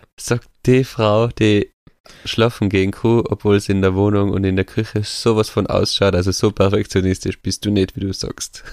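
A man talks at a moderate pace in a fairly low pitch with monotone, flat intonation. The sound is dry and close with no echo, on a very clean recording with a silent background. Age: 30s. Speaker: podcast co-host. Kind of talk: casual chat.

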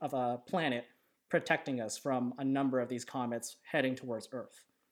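In a very clean recording with a silent background, a man with a fairly high pitch talks at a moderate pace in an unremarkable speaking voice. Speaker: podcast host. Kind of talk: casual chat. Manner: relaxed, casual, jokey.

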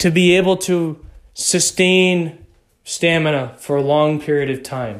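A man with an ordinary speaking voice and a fairly high pitch speaks at a fairly slow pace with ordinary pitch variation. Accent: American. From Texas. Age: young. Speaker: podcast host. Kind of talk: solo motivational podcast talk.

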